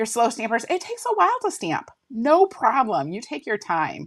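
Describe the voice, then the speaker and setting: Her pitch swings very widely, with vocal fry running through it. The woman speaks at a moderate pace. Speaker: card-making demonstrator. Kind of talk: live craft tutorial. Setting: livestream.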